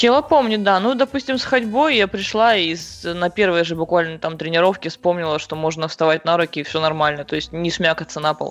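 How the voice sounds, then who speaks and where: A woman with a fairly low pitch speaks at a fairly quick pace with lively intonation and hardly any pauses, over noticeable background noise. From Siberia, Krasnoyarsk. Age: 20s. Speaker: CrossFit athlete and coach. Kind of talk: interview.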